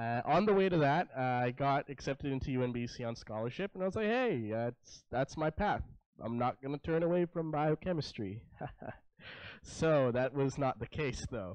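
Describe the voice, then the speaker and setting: Speaking in a Canadian accent, a man with an ordinary speaking voice and fairly high pitch moves at a moderate pace with lively intonation against a quiet background. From Richmond, British Columbia, Canada. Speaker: gamer and esports entrepreneur. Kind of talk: panel talk to students.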